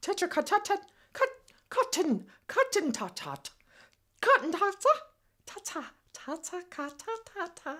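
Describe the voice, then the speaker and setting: Using a put-on character voice, a female-sounding speaker talks at an extremely high pitch and a fairly slow pace, with long, frequent pauses. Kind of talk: comedy web series dialogue.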